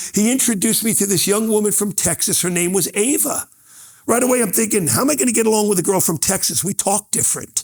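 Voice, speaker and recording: Talking very fast and in an animated tone, a man speaks with a New York accent and a high pitch. His loudness stays very even while his pitch varies in an ordinary way. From New York, Brooklyn. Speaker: motivational speaker. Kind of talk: keynote speech.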